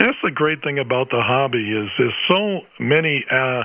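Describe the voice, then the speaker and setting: Noticeable background noise sits under the recording. Over it, a man speaks at a fairly high pitch. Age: 60s. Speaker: ham radio operator, retired band teacher. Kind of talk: ham radio conversation. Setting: amateur radio transmission.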